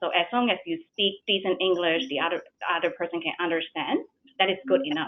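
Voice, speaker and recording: Speaking very fast with a strong non-native accent, a woman uses a medium pitch with ordinary pitch variation. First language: not English. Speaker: bank executive. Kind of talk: webinar panel talk.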